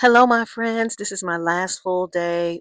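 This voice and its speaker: At a very slow pace, a woman with a medium pitch and lively intonation is heard in a dry, close sound with no echo. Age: 60s. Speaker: lifestyle vlogger. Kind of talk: casual vlog.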